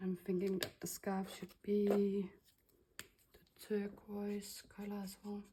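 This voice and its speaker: Very slowly and in a flat monotone, a woman speaks in a medium pitch with a dark, mellow, somewhat breathy tone and long, frequent pauses. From Denmark. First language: Danish. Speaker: crafter / laser designer. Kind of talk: tutorial. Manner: casual, with hesitations.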